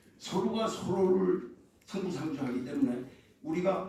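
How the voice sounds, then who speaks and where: A man talks with lively intonation at a high pitch. Both audible room echo and noticeable background noise come through. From North Korea, moved south at age six. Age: 70s. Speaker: foundation leader, forum speaker. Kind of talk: opening speech at a forum. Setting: press center conference room. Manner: halting, with self-corrections.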